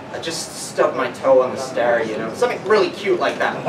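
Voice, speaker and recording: The speech moves at a fairly quick pace. Loud background noise runs behind it. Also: man. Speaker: stand-up comedian. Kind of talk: stand-up comedy set with self-deprecating jokes and absurd bits. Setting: live comedy venue with laughing audience. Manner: animated, shifting into mock voices and pitch-man patter. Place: bar. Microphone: camera far.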